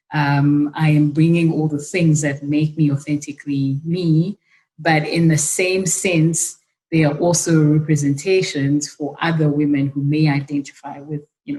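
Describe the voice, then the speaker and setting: A woman speaks in a very deep, low voice with a monotone, flat intonation and a somewhat breathy quality. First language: not English. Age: young. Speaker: leadership program director. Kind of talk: panel discussion.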